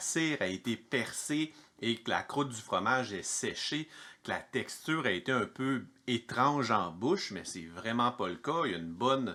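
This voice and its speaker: With a Quebec accent, a man speaks fairly slowly at a medium pitch, his tone bright and sharp and his pitch swinging very widely. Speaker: home cheesemaker, video host. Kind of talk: cheese tasting video. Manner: casual, chatty.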